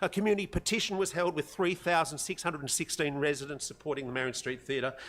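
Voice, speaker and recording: A very fast man's voice with an Australian accent, fairly high in pitch, with ordinary pitch variation. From Australia, Sydney North Shore. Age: 60s. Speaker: community member addressing council. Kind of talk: public forum speech. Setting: council chamber public forum.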